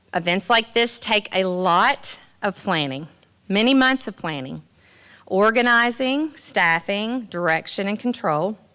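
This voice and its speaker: A woman with a Southern US accent speaks at medium pitch with a bright, sharp tone and lively intonation. She talks at a fairly slow pace on a very clean recording with a silent background. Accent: Southern US drawl. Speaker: master of ceremonies at college awards. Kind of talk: event hosting speech.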